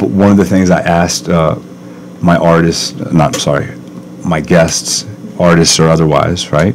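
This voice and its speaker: A man speaks at a very deep, low pitch, leaving long, frequent pauses over noticeable background noise. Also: ordinary pitch variation, moderate pace. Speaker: podcast host. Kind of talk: casual interview. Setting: podcast studio. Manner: loud.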